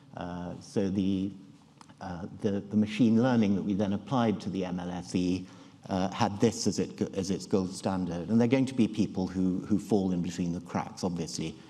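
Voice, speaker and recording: A man speaks in a very deep, low pitch with a dark, mellow tone. His pace is moderate and his pitch varies in an ordinary way. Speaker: neurology professor giving a conference talk. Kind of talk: conference lecture. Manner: halting, many fillers and restarts. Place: hall.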